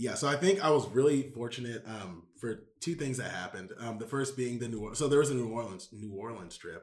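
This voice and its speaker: With an American accent and a plain, everyday voice, a man speaks at a medium pitch with ordinary pitch variation, hardly any pauses and big swings in loudness. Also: fairly quick pace. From Houston, Texas. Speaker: MBA student. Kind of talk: casual interview. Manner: filler-heavy casual speech.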